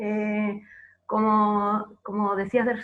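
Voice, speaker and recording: A woman with an Argentine accent speaks at a fairly high pitch. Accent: Argentine Spanish (Rioplatense). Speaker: archivist. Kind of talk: panel presentation. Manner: hesitant, many filler words.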